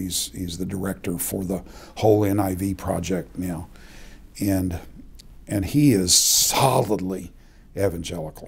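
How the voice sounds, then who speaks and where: A man's very deep, low, somewhat breathy voice with an American accent, fairly even intonation and a fairly slow pace. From Oklahoma City. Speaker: retired seminary professor. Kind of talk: interview. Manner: halting. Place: office.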